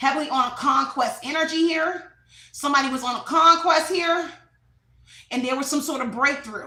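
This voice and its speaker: A woman projects a raised voice with a bright, sharp tone and high pitch. Her pitch varies in an ordinary way, and room echo is audible. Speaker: tarot reader. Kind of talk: tarot reading monologue. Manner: fast.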